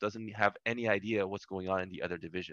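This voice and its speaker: Dry and close with no echo, a man with an American accent speaks in a bright, sharp tone against a quiet background. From US West Coast, Los Angeles. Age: 30s. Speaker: esports executive. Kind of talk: interview conversation.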